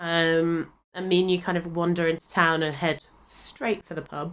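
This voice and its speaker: With an English accent, a woman speaks at a very slow pace. Her fairly low pitch stays in a monotone, flat intonation. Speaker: podcast co-host. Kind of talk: casual chat. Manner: hesitant, many fillers.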